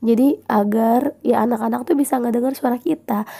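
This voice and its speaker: In a dark, mellow tone, a woman speaks at a moderate pace with ordinary pitch variation. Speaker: podcast host and teacher. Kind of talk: casual chat. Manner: casual, with filler words.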